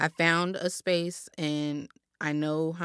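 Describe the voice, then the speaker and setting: A woman speaks in a very deep, low pitch. The sound is dry and close with no echo, in a very clean recording with a silent background. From US West Coast, South Los Angeles. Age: 20s. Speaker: chef and substitute teacher. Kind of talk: casual chat.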